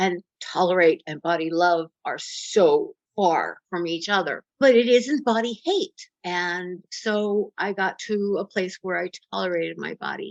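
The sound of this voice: A woman with a fairly low pitch and ordinary pitch variation speaks at a fairly slow pace with few pauses, in a dry, close sound with no echo.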